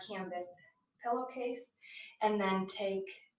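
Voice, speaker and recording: There is audible room echo as a woman talks at a fairly slow pace and medium pitch, with ordinary pitch variation. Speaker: craft demonstrator live-streaming. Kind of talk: live craft tutorial. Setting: bedroom floor, live stream. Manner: casual, with many fillers.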